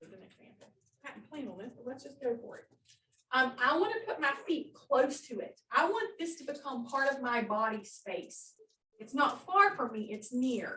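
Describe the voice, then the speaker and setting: A woman with a high pitch uses a raised, projected voice. Her pitch swings very widely and her loudness shifts a great deal. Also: moderate pace. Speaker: occupational therapist. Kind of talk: workshop presentation.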